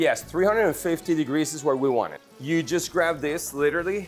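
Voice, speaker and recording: Over music in the background, a man with a fairly high pitch and ordinary pitch variation talks at a moderate pace with hardly any pauses. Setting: cooking demonstration.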